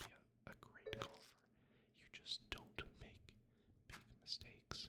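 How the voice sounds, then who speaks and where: A man whispers in a calm tone. Noticeable background noise sits behind him. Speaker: ASMR content creator. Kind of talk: whispered ASMR gameplay commentary. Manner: soft-spoken, whispered, calm.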